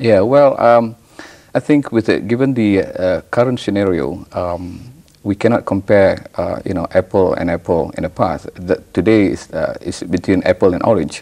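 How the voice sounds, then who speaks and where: At a moderate pace, a man talks with a Malaysian accent. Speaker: professor. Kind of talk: TV interview. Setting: TV studio. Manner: halting, many fillers and repetitions.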